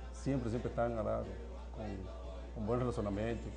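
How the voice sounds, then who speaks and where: A man with a strong Spanish accent, with audible room echo and music in the background. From Cuba. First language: Spanish (speaking Portuguese). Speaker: doctor. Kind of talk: interview. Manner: halting, mixing Spanish and Portuguese.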